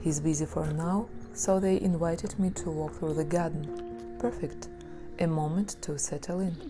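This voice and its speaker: A woman is speaking at a fairly slow pace. Music plays in the background. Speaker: therapist. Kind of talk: documentary narration.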